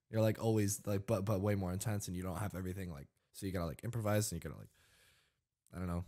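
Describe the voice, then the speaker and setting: In a very clean recording with a silent background, a man with a fairly low pitch and a dark, mellow tone talks at a very fast pace, his intonation fairly even but his loudness swinging greatly. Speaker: podcast host and streamer. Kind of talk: casual chat. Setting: studio. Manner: sarcastic-sounding delivery.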